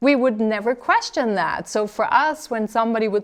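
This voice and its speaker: A woman in a plain, everyday voice, with lively intonation at a moderate pace over a quiet background. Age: 40s. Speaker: TV talk show host. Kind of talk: interview.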